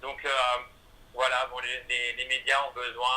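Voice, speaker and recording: A man speaks at a fairly slow pace. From France. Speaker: singer and musical theatre performer. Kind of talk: radio interview. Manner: hesitant, many fillers.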